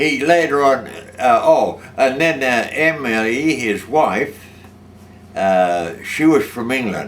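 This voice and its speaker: Lively intonation marks a man's very slow speech. Noticeable background noise can be heard. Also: medium pitch for a man. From Australia. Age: 80s+. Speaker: war veteran. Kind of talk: testimony. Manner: halting.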